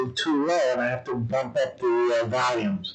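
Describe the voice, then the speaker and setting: Amid noticeable background noise and audible room echo, a man's medium-pitched voice moves at a fairly slow pace. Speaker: political commentary livestream host. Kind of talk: livestream monologue. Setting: home studio livestream. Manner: halting.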